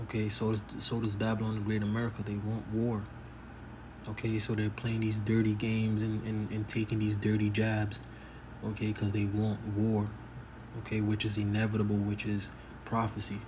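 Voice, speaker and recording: Speaking at a moderate pace, a man with a fairly low pitch keeps his loudness very even and his intonation monotone and flat, with audible room echo around him. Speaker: bible prophecy youtuber. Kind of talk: casual monologue. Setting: at home early morning. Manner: speaking low; halting, filler-heavy.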